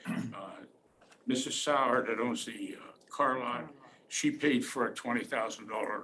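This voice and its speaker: With an American accent, a man speaks at a fairly slow pace. His loudness swings widely, and the room echo is audible. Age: 70s. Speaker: war veteran. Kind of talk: public testimony at a county meeting. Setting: county commissioners' hearing room. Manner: halting, with many repetitions and fillers.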